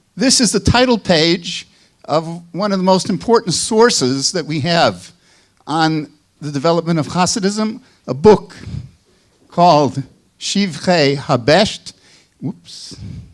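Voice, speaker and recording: A man with a Chicago accent talks at a high pitch and a fairly slow pace, using lively intonation and long, frequent pauses. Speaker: professor. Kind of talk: lecture.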